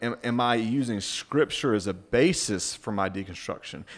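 An unremarkable speaking voice from a man with an American accent, medium in pitch, with ordinary pitch variation. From US South. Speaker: pastor and author. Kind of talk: casual chat.

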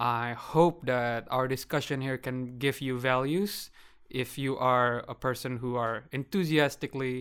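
A man talks in a normal speaking voice. His pace is moderate and his intonation fairly even. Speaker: student podcast co-host. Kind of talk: casual discussion.

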